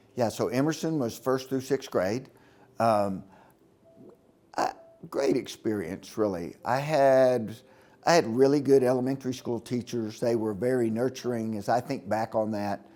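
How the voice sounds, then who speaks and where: A man with a normal speaking voice at a medium pitch and a moderate pace, with ordinary pitch variation. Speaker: interviewee, former student. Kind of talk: interview testimony.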